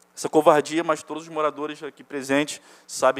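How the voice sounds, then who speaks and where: At a fairly quick pace, a man speaks. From Ilha Grande, Rio de Janeiro state, Brazil. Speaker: evicted resident. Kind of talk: public hearing testimony. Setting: municipal chamber hearing.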